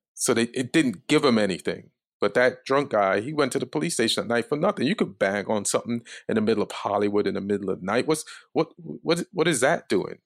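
On a very clean recording with a silent background, a man delivers a deadpan tone with lively intonation, medium pitch and a fairly quick pace.

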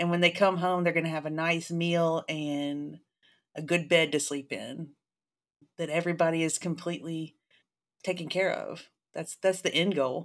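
A woman with a Southern US accent speaks at a moderate pace in a fairly low, monotone, flat voice, leaving long, frequent pauses. The recording is very clean, with a silent background. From Jackson, Mississippi. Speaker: college professor. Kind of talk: interview conversation.

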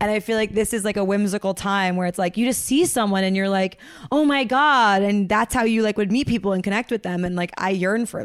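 This woman has an ordinary speaking voice at a medium pitch with ordinary pitch variation. She talks at a fairly quick pace with hardly any pauses. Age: 30s. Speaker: comedian. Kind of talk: casual chat. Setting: video call.

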